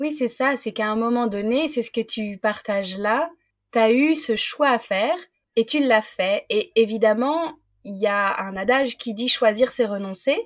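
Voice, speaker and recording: Recorded very cleanly over a silent background, a woman speaks at a fairly high pitch. She talks at a fairly slow pace with ordinary pitch variation. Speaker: podcast host. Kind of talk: interview. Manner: animated.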